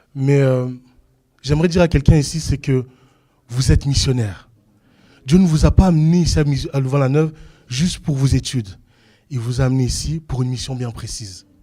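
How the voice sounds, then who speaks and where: A man speaks at a fairly quick pace in a dark, mellow, somewhat breathy tone at medium pitch with ordinary variation. His speech is broken by long, frequent pauses. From Belgium. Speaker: preacher. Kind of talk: sermon. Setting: church.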